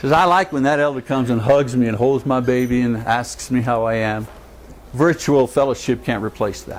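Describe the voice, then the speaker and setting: At a moderate pace, a man talks at medium pitch with ordinary pitch variation. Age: 60s. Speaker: preacher teaching a church class. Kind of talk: class talk. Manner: animated.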